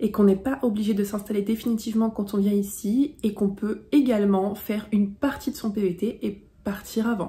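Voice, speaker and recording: Somewhat breathy, a woman talks at a fairly high pitch and a moderate pace. Her tone is dark and mellow. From France. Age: 20s. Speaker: travel vlogger. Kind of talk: vlog tutorial. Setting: facecam video.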